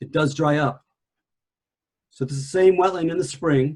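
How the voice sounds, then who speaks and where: A man talks at a moderate pace with fairly even intonation. His voice is fairly high-pitched and somewhat breathy. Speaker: environmental analyst presenter. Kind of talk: lecture. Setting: video call. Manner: soft-spoken.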